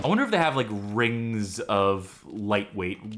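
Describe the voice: The reading aloud is plain, with pitch that varies in an ordinary way.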